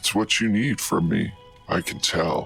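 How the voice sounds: A man's guttural, put-on character voice at a moderate pace, faint music in the background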